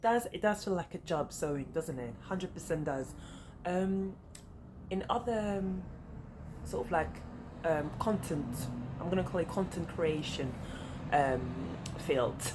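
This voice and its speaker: At a fairly slow pace, a woman with a fairly low pitch speaks with lively intonation and long, frequent pauses. Noticeable background noise is present. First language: French. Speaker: sewing vlogger. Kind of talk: casual chat. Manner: halting.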